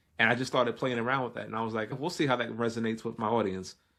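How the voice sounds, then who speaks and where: A man with a New York accent and a medium pitch. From New York, Brooklyn. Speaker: chef and content creator. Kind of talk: casual chat. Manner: fast.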